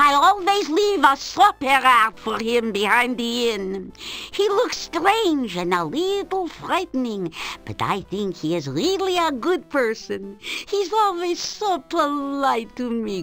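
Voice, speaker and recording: A woman uses a put-on character voice, high-pitched and fairly slow, with very wide pitch swings. Music plays in the background. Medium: video game. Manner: chatty, warm, effusive.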